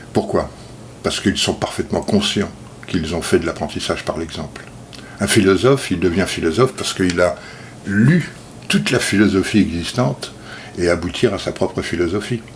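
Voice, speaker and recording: Over noticeable background noise, the speech moves at a moderate pace with ordinary pitch variation and long, frequent pauses. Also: man. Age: 60s. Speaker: self-taught speaker. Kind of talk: video monologue talk.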